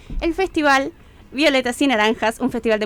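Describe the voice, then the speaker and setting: Her pitch varying in an ordinary way, a woman speaks at a very fast pace. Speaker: cultural agenda presenter. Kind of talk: events agenda reading.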